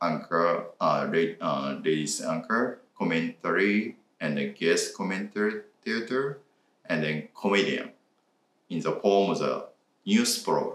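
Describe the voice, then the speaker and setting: A man speaks at a very slow pace. He has a Japanese accent. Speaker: reaction video co-host. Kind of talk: casual chat. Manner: halting.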